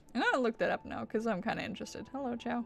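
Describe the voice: Her voice is fairly high and fairly bright, and this woman speaks with vocal fry.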